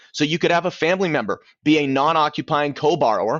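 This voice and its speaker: A man's fairly high voice at a fairly quick pace. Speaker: mortgage loan officer. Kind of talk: business talk to realtors, to camera. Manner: fast.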